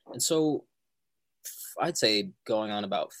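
A man speaks with a plain, everyday voice, fairly low in pitch and with ordinary pitch variation. The recording is very clean, with a silent background. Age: 20s. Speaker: musician and filmmaker. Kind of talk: interview.

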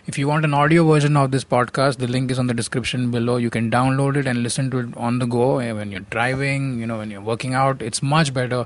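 A man at medium pitch talks very fast with hardly any pauses. His intonation stays fairly even. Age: 30s. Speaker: podcast host and comedian. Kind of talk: casual chat.

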